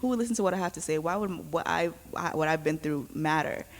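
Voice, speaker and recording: A woman talks at a fairly quick pace with a New York accent. Her pitch is very deep and low. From New York City (Queens, born in Brooklyn). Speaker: youth organizer. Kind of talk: panel discussion.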